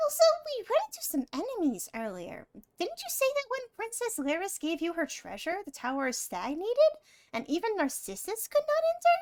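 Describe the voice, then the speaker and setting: A female-sounding put-on character voice at an extremely high pitch, moderate pace, and very wide pitch swings. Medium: game stream. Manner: refers to self in third person, chatty.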